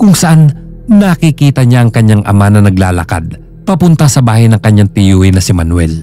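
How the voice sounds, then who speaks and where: Over music in the background, a man speaks at a moderate pace in a fairly low pitch, with very wide pitch swings. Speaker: storyteller. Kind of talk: horror story narration.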